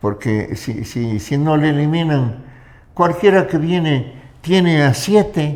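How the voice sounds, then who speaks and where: With lively intonation, the words come out at a very slow pace. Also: man, fairly high pitch for a man. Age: 90s. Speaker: political commentator. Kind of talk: interview.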